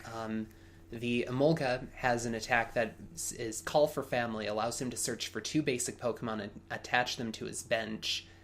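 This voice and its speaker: A man talks in an unremarkable speaking voice at a medium pitch. His pace is moderate and his intonation fairly even. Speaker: podcast co-host and Pokemon commentator. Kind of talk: live sports-style game commentary. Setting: recorded commentary over a game video.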